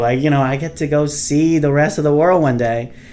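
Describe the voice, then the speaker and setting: The man has a Vietnamese accent and a fairly high pitch. His pitch varies in an ordinary way. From Vietnam, Ho Chi Minh City. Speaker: civil engineer and company founder. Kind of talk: podcast interview.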